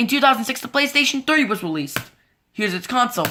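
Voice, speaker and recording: A woman's bright, sharp voice sits at a fairly high pitch and swings very widely up and down. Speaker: YouTuber presenting logo history slides. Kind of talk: scripted slideshow narration. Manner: fast; halting, repeats words.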